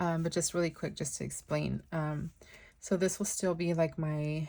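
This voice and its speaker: A woman's very deep, low voice, somewhat breathy and monotone with flat intonation, at a moderate pace in a very clean recording with a silent background. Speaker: planner youtuber. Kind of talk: planner flip-through tutorial. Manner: hesitant, many fillers.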